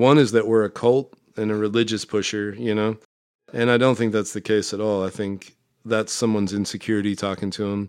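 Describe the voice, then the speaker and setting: With an American accent and a plain, everyday voice, a man talks fairly quickly at a fairly low pitch with fairly even intonation. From Nebraska, Omaha. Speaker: recovering alcoholic guest. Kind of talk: casual chat.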